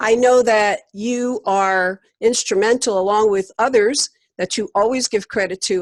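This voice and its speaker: A woman with a New York accent and fairly even intonation, in a very clean recording with a silent background and a dry, close sound with no echo. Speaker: interview host. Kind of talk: interview.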